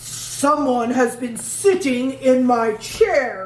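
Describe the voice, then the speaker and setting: A female-sounding, fairly high put-on character voice growls at a very slow pace. Light background noise is present. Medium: read story. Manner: growling.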